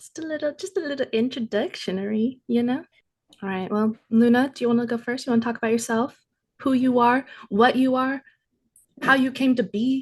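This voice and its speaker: Her voice is high-pitched, with ordinary pitch variation. The woman talks at a fairly quick pace over a quiet background. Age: young. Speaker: podcast co-host. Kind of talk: casual chat.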